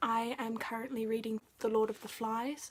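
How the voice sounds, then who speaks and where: Soft-spoken and fairly slow, a woman talks at a fairly high pitch over noticeable background noise. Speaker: book vlogger. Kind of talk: casual video review. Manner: quiet, soft-spoken.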